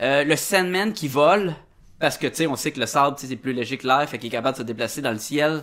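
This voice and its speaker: In a Quebec accent, a man talks at a very fast pace. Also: fairly high pitch for a man, ordinary pitch variation. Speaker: podcast host. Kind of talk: casual chat.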